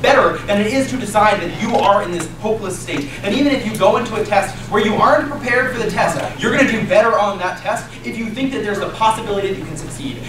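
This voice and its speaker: A man speaks very fast at a high pitch with ordinary pitch variation. Room echo is audible, along with noticeable background noise. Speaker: speaker. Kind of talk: competitive debate speech. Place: classroom.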